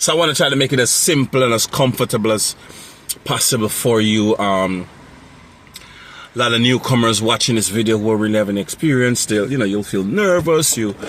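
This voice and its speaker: A man's medium-pitched voice at a fairly quick pace, very even loudness and ordinary pitch variation, over noticeable background noise. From Jamaica. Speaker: mobile mechanic and road service business owner. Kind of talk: unscripted tutorial talk. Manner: casual, many fillers and repetitions.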